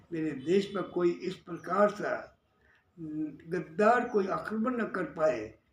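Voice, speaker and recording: Lively intonation marks the speech of a man with a high pitch. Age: 80s+. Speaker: social worker and labour-farmer leader. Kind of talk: political monologue. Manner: repetitive, emphatic.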